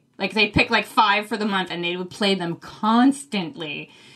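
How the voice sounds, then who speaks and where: A woman with an American accent and a normal speaking voice talks at a moderate pace. Her medium pitch shows ordinary variation. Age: 40s. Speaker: book podcaster, fill-in co-host. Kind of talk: casual chat.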